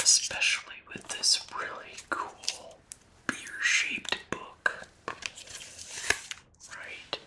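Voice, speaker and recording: Amid noticeable background noise, a woman whispers in a relaxed tone. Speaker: ASMR creator. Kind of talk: ASMR book review. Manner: soft-spoken, relaxed.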